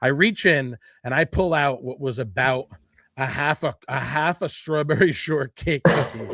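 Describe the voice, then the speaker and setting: Loud and animated, a man with a fairly high pitch and a bright, sharp tone speaks at a fairly slow pace with ordinary pitch variation, in a dry, close sound with no echo. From New Jersey. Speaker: podcast host. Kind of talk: casual chat.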